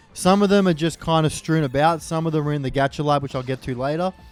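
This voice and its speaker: A man at a very fast pace and fairly high pitch, with fairly even intonation and music in the background. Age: 20s. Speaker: gaming youtuber. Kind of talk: gameplay commentary. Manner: casual.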